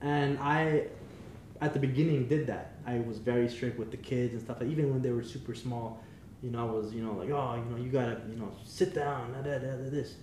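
There is noticeable background noise and audible room echo. A man speaks at a fairly quick pace and medium pitch, his intonation fairly even. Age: 20s. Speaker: father of five. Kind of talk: casual chat. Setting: guests' home.

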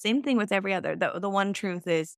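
A woman's unremarkable speaking voice at medium pitch with ordinary pitch variation, dry and close with no echo, in a very clean recording against a silent background. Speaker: podcast host. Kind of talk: casual interview conversation.

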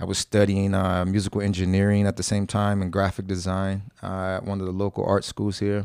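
A man with an American accent speaks at a fairly quick pace, barely pausing. His fairly low voice stays monotone and flat. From New Jersey, US East Coast (born Brooklyn). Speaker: jiu-jitsu instructor. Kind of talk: casual interview.

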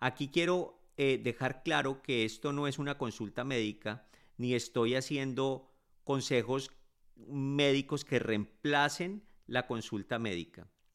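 On a very clean recording with a silent background, a man speaks. His pace is very slow and his pitch variation ordinary. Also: medium pitch for a man. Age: 50s. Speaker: physician podcast host. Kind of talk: educational monologue.

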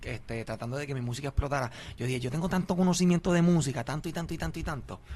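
A somewhat breathy man with ordinary pitch variation. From Philadelphia, Puerto Rican family. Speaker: podcaster and reggaeton figure. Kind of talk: casual interview.

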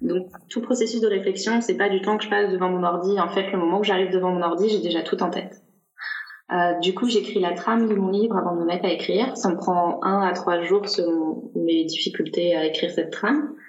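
Noticeable background noise and audible room echo accompany a woman of medium pitch who talks fairly quickly, with very even loudness and ordinary pitch variation. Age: 30s. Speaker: self-published novelist. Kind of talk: casual interview chat.

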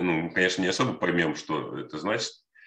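A man speaks at a fairly quick pace in a bright, sharp tone with vocal fry. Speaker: podcast co-host. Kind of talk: casual chat.

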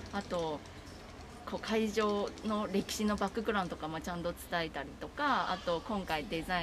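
A medium-pitched woman at a fairly quick pace, ordinary pitch variation, with noticeable background noise. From Taiwan. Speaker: art festival project manager. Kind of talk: casual interview.

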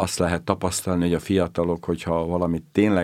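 Very deep, low male voice in a monotone, flat delivery at a moderate pace, in a very clean recording with a silent background. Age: old. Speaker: retired bishop. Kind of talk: interview.

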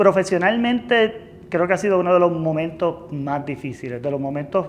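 A man speaks at a moderate pace. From Puerto Rico, Lares. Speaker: company finance executive. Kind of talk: interview. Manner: halting, with frequent repetitions and fillers.

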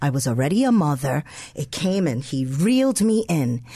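Her voice is dark and mellow, somewhat breathy, with a New York accent. This woman speaks at a moderate pace with very wide pitch swings. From New York City, the Bronx. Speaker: co-pastor. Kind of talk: radio interview.

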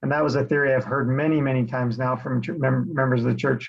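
A man talks with a medium pitch and fairly even intonation. His voice is somewhat breathy. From Utah (Salt Lake City area). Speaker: real estate investor, creation researcher. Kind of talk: interview conversation.

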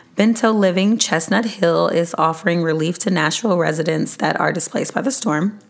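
A woman's fairly low voice at a fairly quick pace, with hardly any pauses, very even loudness, ordinary pitch variation, and noticeable background noise. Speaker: podcast host. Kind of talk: podcast monologue sharing resources. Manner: trying to talk louder.

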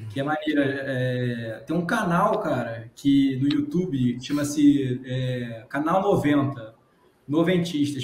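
Noticeable background noise sits under a man's fairly high-pitched voice. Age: 30s. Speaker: podcast host. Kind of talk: casual chat.

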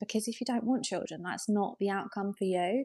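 A woman with an English accent and ordinary pitch variation on a very clean recording with a silent background. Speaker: interior designer and content creator. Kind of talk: casual chat.

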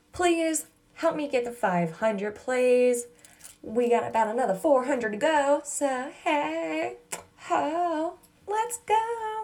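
A woman uses a put-on character voice that is nasal and high-pitched. She talks very slowly, with very wide pitch swings. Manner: silly, put-on.

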